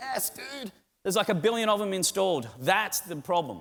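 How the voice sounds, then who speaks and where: Using very wide pitch swings, a man speaks with an Australian accent. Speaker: tech conference speaker. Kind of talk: keynote talk. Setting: stage with audience. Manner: animated.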